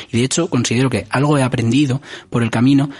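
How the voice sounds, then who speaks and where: A man speaks at a medium pitch. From Spain, Alcalá de Henares near Madrid. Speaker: podcast host. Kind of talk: casual interview chat.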